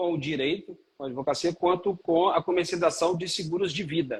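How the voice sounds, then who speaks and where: The speaker is a man with a high voice. His pitch varies in an ordinary way. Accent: Minas Gerais. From Minas Gerais, Brazil (Belo Horizonte). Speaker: lawyer and life insurance seller. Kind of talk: live stream interview. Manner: halting, many fillers.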